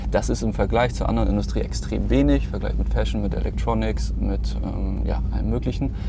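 Pitched very deep and low, a man speaks fairly quickly in a monotone, flat way at very even loudness, with audible room echo and noticeable background noise. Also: hardly any pauses. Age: 30s. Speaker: startup founder. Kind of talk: interview.

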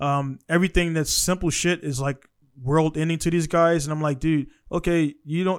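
A man with a plain, everyday voice talks at a fairly high pitch, keeping his intonation fairly even. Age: 30s. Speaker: podcast host. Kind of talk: casual chat. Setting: video call.

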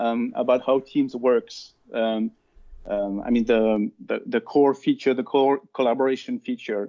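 A man talks at a fairly slow pace with a French accent. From France. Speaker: cloud solution architect. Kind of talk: interview.

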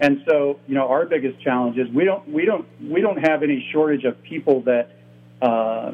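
A man with an American accent, a normal speaking voice, fairly high in pitch, ordinary pitch variation and a moderate pace. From US Midwest. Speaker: toy company executive. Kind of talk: interview.

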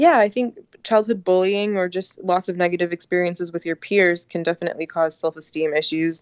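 Talking at a fairly quick pace with hardly any pauses, a woman uses a plain, everyday voice, fairly low in pitch with fairly even intonation. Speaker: author. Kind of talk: interview.

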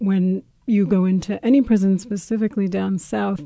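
Against a quiet background, a woman with a somewhat breathy voice talks at a fairly quick pace. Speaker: professor, restorative justice facilitator. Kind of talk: interview. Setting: studio.

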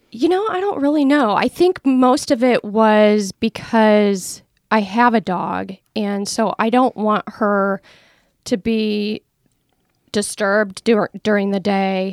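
Very slowly, a woman with an American accent talks at a fairly high pitch with ordinary pitch variation. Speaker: tiny house owner. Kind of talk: casual interview.

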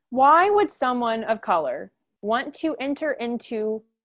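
In a plain, everyday voice, a woman with an American accent talks at a fairly high pitch with lively intonation. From Oklahoma, US (Edmond). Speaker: orchestra education manager and bassoonist. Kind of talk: interview.

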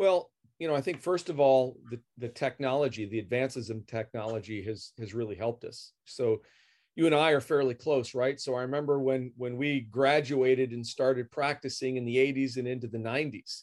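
Over a quiet background, a man with a plain, everyday voice talks at a moderate pace and a medium pitch. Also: ordinary pitch variation. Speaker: optometrist specializing in glaucoma. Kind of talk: interview.

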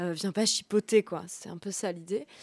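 A woman with a dark, mellow tone and medium pitch speaks at a moderate pace with fairly even intonation. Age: 30s. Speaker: journalist and author. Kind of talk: radio interview. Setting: studio.

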